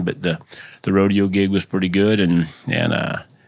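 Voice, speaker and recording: Someone with an American accent talks at a fairly quick pace. The intonation is monotone and flat. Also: man. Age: 60s. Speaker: roofing business owner and former rodeo cowboy. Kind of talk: podcast interview. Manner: halting, many repetitions and fillers.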